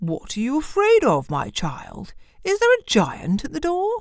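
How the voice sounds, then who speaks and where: A woman adopts a put-on character voice, pitched high and delivered at a moderate pace. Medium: read story. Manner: firm, authoritative.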